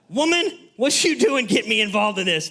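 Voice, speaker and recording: A man in a high-pitched, put-on character voice. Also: fairly quick pace. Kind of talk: blunt, negative. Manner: harsh, negative, scolding.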